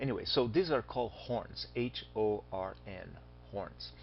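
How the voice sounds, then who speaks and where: A man with a Brazilian accent at a fairly slow pace, in very wide pitch swings, with audible room echo. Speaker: astronomy teacher. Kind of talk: lecture.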